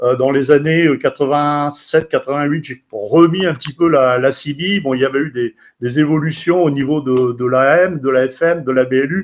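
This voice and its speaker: Fairly high-pitched, a man talks at a moderate pace with hardly any pauses. His intonation stays fairly even against a quiet background. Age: 60s. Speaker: CB radio enthusiast and author. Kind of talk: personal account on a radio event. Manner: halting, many hesitations.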